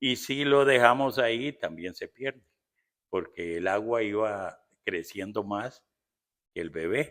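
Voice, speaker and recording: The man talks at a very slow pace with long, frequent pauses. His medium-pitched voice carries lively intonation. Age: 70s. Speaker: pastor and missionary. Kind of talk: interview. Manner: halting.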